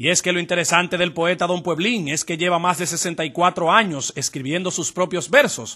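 A man's high, bright, sharp voice at a fairly quick pace, with ordinary pitch variation and hardly any pauses. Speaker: TV news reporter. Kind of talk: TV news report narration.

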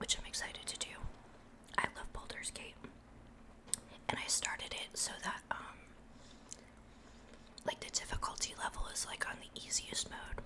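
A woman's whisper, broken by long, frequent pauses. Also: moderate pace. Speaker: ASMR creator and VTuber. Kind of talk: casual talk to camera while eating, ASMR mukbang. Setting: close-mic home recording. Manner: soft-spoken, whispered. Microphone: studio mic.

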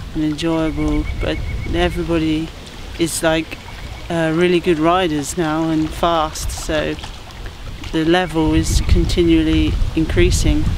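Speaking at a fairly slow pace, a woman leaves long, frequent pauses. The sound is dry with no echo, and background noise is noticeable. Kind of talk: interview answer. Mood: earnest, encouraging. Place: forest.

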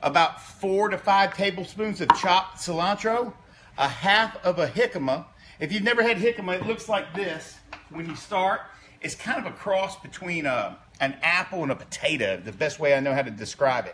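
Against light background noise, a man speaks at a moderate pace with big swings in loudness. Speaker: company co-founder cooking host. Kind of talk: casual cooking tutorial. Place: kitchen. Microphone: phone near.

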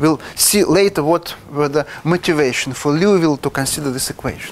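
With a Russian accent, a man talks at a moderate pace using lively intonation. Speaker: mathematics professor. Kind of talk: lecture. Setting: lecture hall with audience. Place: classroom. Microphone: lapel.

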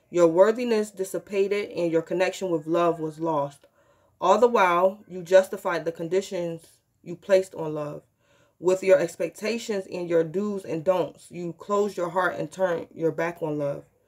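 Here is a woman with an unremarkable speaking voice, fairly low in pitch and fairly even in intonation. She speaks at a moderate pace against a quiet background. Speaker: tarot reader. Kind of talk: reading a guidebook text aloud in a tarot vlog. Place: home room. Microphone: phone near.

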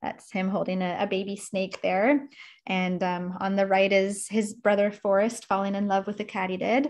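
A woman talks at a moderate pace and medium pitch with fairly even intonation. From Canada. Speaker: environmental educator. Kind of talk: presentation. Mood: warm, cautionary. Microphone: video call.

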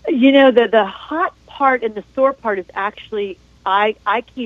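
Here a woman speaks at a fairly slow pace. The sound is dry, with no echo. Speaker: caller. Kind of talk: call-in question. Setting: phone call. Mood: concerned, polite. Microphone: phone line.

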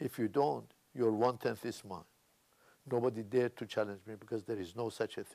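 A man's dark, mellow tone shows vocal fry and ordinary pitch variation. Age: 80s+. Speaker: insurance agent. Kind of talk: motivational talk. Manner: animated. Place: office. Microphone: lapel.

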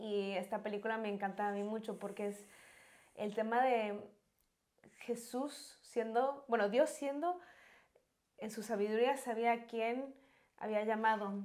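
Her pitch is fairly high for a woman, with ordinary variation, and she speaks at a fairly slow pace. Long, frequent pauses break up her speech against a quiet background. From Mexico. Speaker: pilgrimage camera and production volunteer; interview guest. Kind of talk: personal testimony. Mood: warm, enthusiastic. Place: studio. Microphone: lapel.

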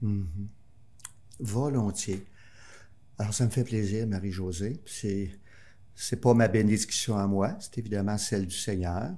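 A man's fairly low, somewhat breathy voice with a dark, mellow tone, fairly even intonation, a very slow pace and long, frequent pauses. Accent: Quebec. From Quebec City suburbs, Quebec; Quebec. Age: 60s. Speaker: priest guest. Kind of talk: interview; blessing. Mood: warm, reflective. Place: studio. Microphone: studio mic.

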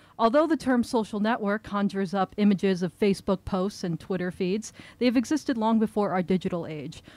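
A woman speaks at a very fast pace. The sound is dry, with no echo. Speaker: event host introducing the speaker. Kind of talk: reading a prepared introduction. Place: shop. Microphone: podium.

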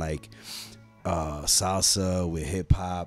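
With faint music in the background and a dry sound with no echo, a man speaks in a very deep, low voice with fairly even intonation. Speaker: guest. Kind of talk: interview answer. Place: studio. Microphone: studio mic.

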